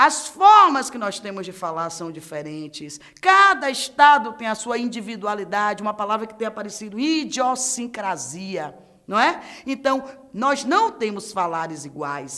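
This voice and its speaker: In a Bahian accent, a woman speaks at a fairly high pitch and moderate pace, with an animated tone. Her pitch swings very widely, loudness swings big, and background noise is noticeable. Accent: Bahian Brazilian Portuguese. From Bahia, Brazil. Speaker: teacher. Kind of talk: lecture.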